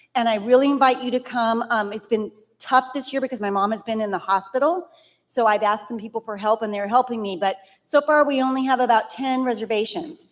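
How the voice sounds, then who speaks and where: An ordinary speaking voice from a woman, fairly high in pitch with ordinary pitch variation, at a fairly quick pace. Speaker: church member. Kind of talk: church announcements.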